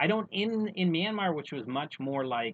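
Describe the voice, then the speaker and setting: Speaking at a moderate pace with an American accent, a man swings his pitch very widely. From United States. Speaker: podcast co-host. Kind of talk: casual chat.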